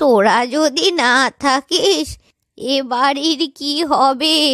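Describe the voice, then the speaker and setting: A woman performs a cartoonish character voice at a high pitch. She speaks at a very slow pace. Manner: fussy, chattering, quick-witted.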